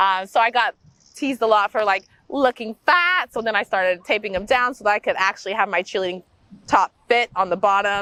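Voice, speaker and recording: Fairly quick in pace, a woman talks in an American accent with an ordinary speaking voice. Her pitch sits fairly high and varies in an ordinary way. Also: dry, close sound with no echo. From US Midwest, Wichita, Kansas. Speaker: movement coach and yoga instructor. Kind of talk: interview, personal life story. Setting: outdoors in a park. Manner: casual, many fillers (um, like).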